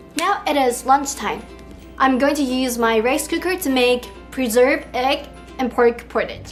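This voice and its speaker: Music plays in the background as a woman speaks at a fairly slow pace. Her pitch is high, with ordinary variation. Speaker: home cook. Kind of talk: cooking tutorial voiceover. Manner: casual, friendly.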